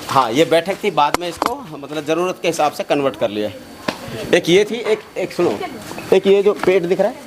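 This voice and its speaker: Against noticeable background noise, a man with a high pitch speaks at a moderate pace with very wide pitch swings. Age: 60s. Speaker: village elder. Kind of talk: interview. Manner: hesitant.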